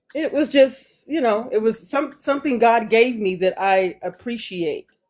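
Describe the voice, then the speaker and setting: A woman with an ordinary speaking voice, fairly high pitch, lively intonation, and a fairly slow pace. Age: 60s. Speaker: live stream viewer sharing her story. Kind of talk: casual chat.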